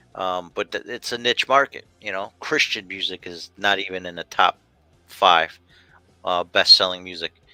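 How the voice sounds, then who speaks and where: Music plays behind a man with an American accent whose very deep, low voice moves at a moderate pace with ordinary pitch variation and big swings in loudness, recorded dry and close with no echo. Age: 50s. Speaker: talk show host. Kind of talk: casual chat. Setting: video call.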